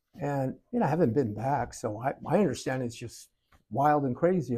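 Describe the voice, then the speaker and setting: A man with a somewhat breathy, dark, mellow voice speaks at a fairly quick pace. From Southern California. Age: 70s. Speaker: local artist. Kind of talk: podcast interview. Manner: casual storytelling.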